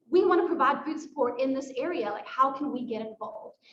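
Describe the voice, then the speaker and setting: In a South African accent, a woman talks at a fairly quick pace with audible room echo. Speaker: nonprofit staff member. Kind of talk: presentation at a volunteer fair. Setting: library event at a podium.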